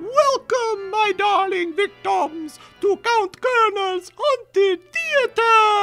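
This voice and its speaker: In a put-on character voice at an extremely high pitch, the speaker goes at a very slow pace with hardly any pauses while faint music plays in the background. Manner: theatrical, sinister welcome.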